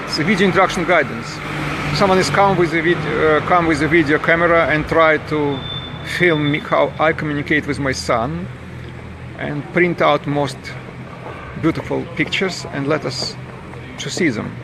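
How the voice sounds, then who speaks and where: A man with a Russian accent talks at a moderate pace and fairly high pitch, with fairly even intonation and long, frequent pauses, over noticeable background noise. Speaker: campaigning father. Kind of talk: protest monologue to camera. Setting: outdoors on a street. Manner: halting.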